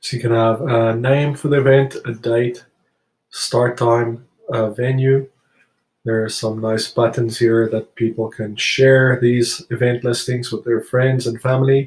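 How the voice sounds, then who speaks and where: Monotone and flat in intonation, a man's somewhat breathy voice at medium pitch moves at a fairly slow pace. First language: not English. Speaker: software tutorial presenter. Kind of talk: tutorial. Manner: hesitant, frequent fillers.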